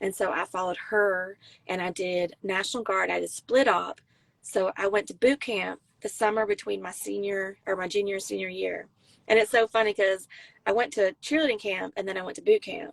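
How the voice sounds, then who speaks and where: Speaking fairly quickly in a South Carolina accent, a woman uses a medium pitch and ordinary pitch variation, with a dry, close sound with no echo. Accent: Southern US, South Carolina. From US South, South Carolina near Myrtle Beach. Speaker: Marine veteran and country singer-songwriter. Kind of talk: casual interview chat.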